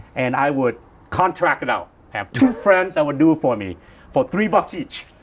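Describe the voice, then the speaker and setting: A man with a slight Vietnamese accent speaks at a moderate pace in a fairly high pitch, using very wide pitch swings and some vocal fry. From Vietnam, moved to US as a child. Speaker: real estate broker, founder. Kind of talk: interview, casual chat. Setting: hotel, in person.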